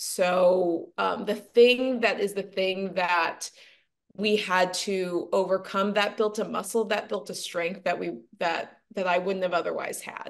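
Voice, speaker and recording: A woman with an American accent at a medium pitch, fairly slow pace and fairly even intonation. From Los Angeles, US; teen years in Chesterfield (Missouri). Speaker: actress and TV pitch coach. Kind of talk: podcast interview. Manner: reflective, hesitant with fillers.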